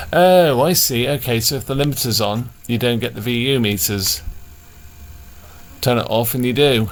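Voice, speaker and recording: A British accent at a moderate pace, with ordinary pitch variation and long, frequent pauses. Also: man, medium pitch for a man. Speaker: electronics repair hobbyist. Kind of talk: casual talk to camera.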